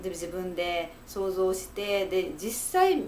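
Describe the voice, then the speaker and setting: A woman with a medium pitch speaks over light background noise. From Japan, Fukuoka; Japan. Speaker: psychological counselor. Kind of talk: solo talk to camera, advice monologue. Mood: calm, reassuring, smiling. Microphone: webcam.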